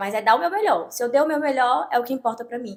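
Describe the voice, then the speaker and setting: A woman's voice with ordinary pitch variation. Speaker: TV reporter. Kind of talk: casual interview.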